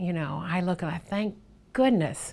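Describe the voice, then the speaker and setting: A woman speaks at a moderate pace in an ordinary speaking voice. Her pitch sits fairly low, and her intonation is lively. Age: 60s. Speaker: plastic surgery patient. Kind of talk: patient testimonial interview answer.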